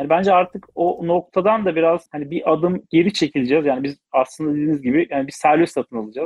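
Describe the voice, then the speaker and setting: A man's fairly high-pitched voice at a very fast pace, with hardly any pauses and ordinary pitch variation. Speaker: automotive business development director. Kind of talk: interview.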